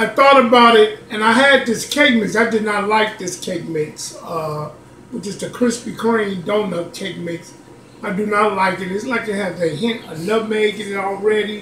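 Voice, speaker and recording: Over light background noise and audible room echo, a man projects a raised voice at a moderate pace with ordinary pitch variation. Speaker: home cooking channel host. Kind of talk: casual cooking tutorial. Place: home room. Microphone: phone near.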